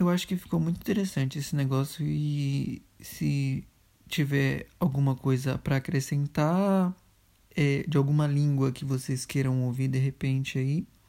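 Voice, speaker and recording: A woman's very deep, low voice with a dark, mellow tone, a moderate pace and ordinary pitch variation, on a very clean recording with a silent background. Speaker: podcast co-host. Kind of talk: casual chat.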